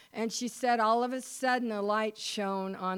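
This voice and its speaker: A woman with an American accent talks at a moderate pace in an ordinary speaking voice, fairly high in pitch. Her intonation is fairly even, on a very clean recording with a silent background. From US Mountain West (Wyoming). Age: 60s. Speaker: pastor's wife giving a church talk. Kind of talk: devotional talk / testimony with reading aloud. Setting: church service, recorded.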